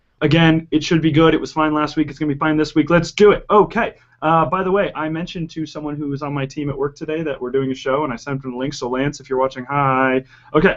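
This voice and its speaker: This man talks at a very fast pace in a fairly high pitch. His intonation stays fairly even. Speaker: soccer podcast host. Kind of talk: casual chat. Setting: studio.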